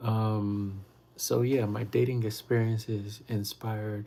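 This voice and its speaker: A man's fairly low, somewhat breathy voice, dark and mellow in tone, with monotone, flat intonation. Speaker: livestreamer and author. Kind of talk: casual livestream chat.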